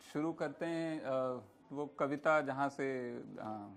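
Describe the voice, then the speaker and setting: Noticeable background noise beneath a man's voice at a medium pitch. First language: Punjabi (speaking Hindi). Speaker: writer and moderator. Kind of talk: public panel conversation. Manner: hesitant with fillers.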